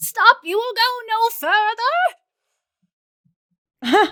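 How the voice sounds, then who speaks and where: In a put-on character voice, a woman sounds gruff at an extremely high pitch. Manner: commanding.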